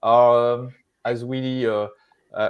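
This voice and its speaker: A man speaks with a French accent. The background is quiet. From France. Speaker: live show co-host. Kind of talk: live stream conversation. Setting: live stream. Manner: halting, many fillers. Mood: friendly, smiling. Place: home room. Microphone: earbuds.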